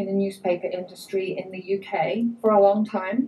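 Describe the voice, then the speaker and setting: Somewhat breathy and dark, mellow in tone, a woman with an English accent speaks at a fairly slow pace in a medium pitch with monotone, flat intonation. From England. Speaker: immigrant speaker. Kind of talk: personal talk to an audience.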